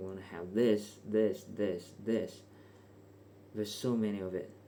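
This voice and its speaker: With audible room echo around him, a man speaks slowly-ish and evenly, his tone dark and mellow, at a fairly slow pace with fairly even intonation. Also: fairly low pitch for a man. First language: not English. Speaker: vlogger. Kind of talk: casual unscripted monologue. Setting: bedroom at night. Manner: hesitant, casual.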